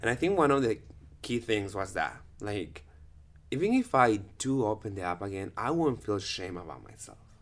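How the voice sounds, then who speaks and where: Speaking with a Spanish accent, a man uses lively intonation at a fairly low pitch. The recording is very clean, with a silent background. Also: moderate pace. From Guatemala, Guatemala City. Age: 30s. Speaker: dancer. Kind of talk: casual chat.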